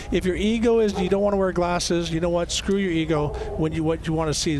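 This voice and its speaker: A man at a fairly high pitch, very fast, with fairly even intonation, audible room echo and noticeable background noise. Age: 60s. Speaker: race commentator and former racer. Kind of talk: live commentary.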